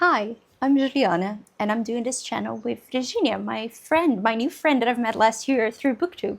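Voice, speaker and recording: A woman with a Portuguese accent, a fairly high pitch and lively intonation. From Brazil. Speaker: book vlogger. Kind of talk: casual chat. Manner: fast.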